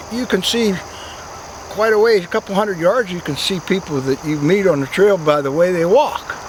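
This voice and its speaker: With noticeable background noise behind him, a man talks at a moderate pace in a high pitch that swings very widely. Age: 80s+. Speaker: trail walker interviewed. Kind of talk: casual interview. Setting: outdoors on a trail.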